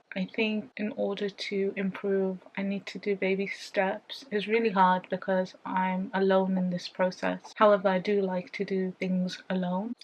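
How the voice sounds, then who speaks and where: A woman's medium-pitched voice with a British accent, monotone and flat in intonation, at a fairly slow pace with hardly any pauses. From United Kingdom. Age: 20s. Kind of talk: casual talk to camera.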